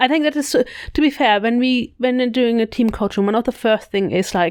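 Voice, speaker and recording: High female voice at a fairly quick pace, very even in loudness, with ordinary pitch variation, on a very clean recording with a silent background. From Germany. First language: German. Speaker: podcast co-host, leadership coach. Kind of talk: casual podcast discussion.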